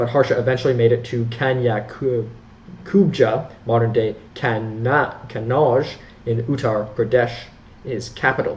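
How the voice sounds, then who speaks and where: A man speaks at a fairly slow pace with medium pitch, fairly even intonation and a somewhat breathy voice. Audible room echo is present. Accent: Canadian. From Canada. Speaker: history educator. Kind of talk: educational lecture. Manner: halting, frequent self-corrections.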